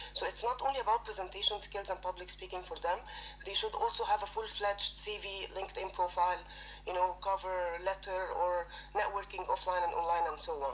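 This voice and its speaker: There is noticeable background noise. Through it, a woman talks fairly fast. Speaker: HR recruiter and personal branding trainer. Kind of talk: audience comment in live audio session. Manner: halting, many fillers.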